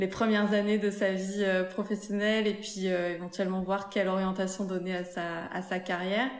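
Someone speaks at a moderate pace in a monotone, flat intonation, with audible room echo and noticeable background noise. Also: woman, medium pitch for a woman. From southern France, near Montpellier. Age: 30s. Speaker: entrepreneur, shoe brand founder. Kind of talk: interview testimony.

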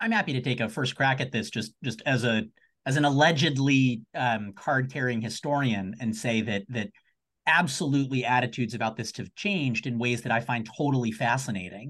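A man's normal speaking voice at medium pitch, fairly quick in pace, with ordinary pitch variation. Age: 30s. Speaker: law professor. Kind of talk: panel discussion. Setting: video call.

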